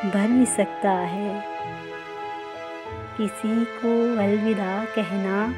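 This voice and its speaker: Music in the background accompanies a woman as she talks. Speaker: poetry narrator. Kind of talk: poetry reading. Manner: emotional, melancholic.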